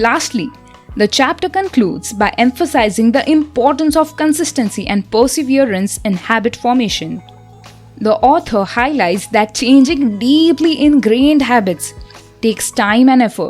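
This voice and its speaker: A woman's high voice in an Indian accent, lively in intonation, at a moderate pace and very even loudness, with music in the background. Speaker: architecture student. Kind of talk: audiobook book summary narration.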